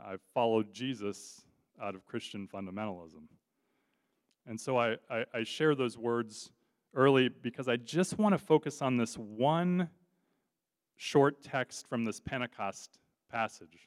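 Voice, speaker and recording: In a very clean recording with a silent background and a dry, close sound with no echo, a medium-pitched man speaks fairly slowly with long, frequent pauses, big swings in loudness and ordinary pitch variation. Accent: Californian. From Southern California, Orange County. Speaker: guest preacher. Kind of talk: sermon. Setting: church.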